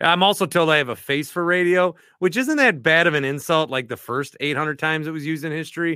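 Fairly high in pitch, a man speaks with an American accent in an ordinary speaking voice. His pace is fairly quick. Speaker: podcast host.

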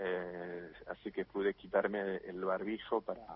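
A very slow pace in a flat monotone. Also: man. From France. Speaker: translator. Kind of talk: interview. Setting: remote call. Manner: halting, repeats words.

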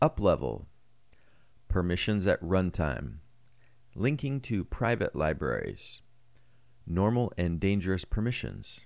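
In a very clean recording with a silent background, a man with a very deep, low voice and vocal fry speaks fairly slowly, leaving long, frequent pauses while his pitch swings very widely. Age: 40s. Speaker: technical writer and blogger. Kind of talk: reading aloud.

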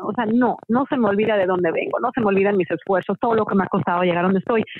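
The pace is very fast. A woman delivers it at medium pitch. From Mexico. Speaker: musical theatre actress. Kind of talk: interview.

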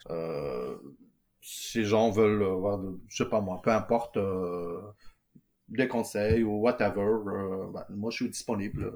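Pitched fairly low, a man speaks at a very slow pace with long, frequent pauses and ordinary pitch variation. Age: 40s. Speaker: entrepreneur, electrical engineer. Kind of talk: casual interview. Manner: hesitant, many fillers.

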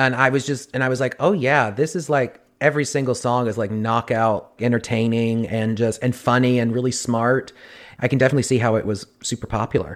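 A man with an American accent speaks in a normal speaking voice at medium pitch. His intonation is fairly even, and the recording is very clean with a silent background. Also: fairly quick pace. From US South. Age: 20s. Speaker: actor. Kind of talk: casual chat.

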